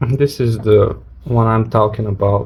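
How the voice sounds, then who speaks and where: Somewhat breathy, a man with a non-native accent speaks very slowly at a medium pitch. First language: not English. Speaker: watch reviewer. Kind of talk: casual video review. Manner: halting.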